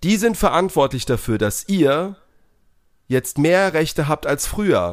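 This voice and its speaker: Very slow pace with lively intonation. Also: man, fairly high pitch for a man. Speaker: podcast co-host. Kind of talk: casual chat.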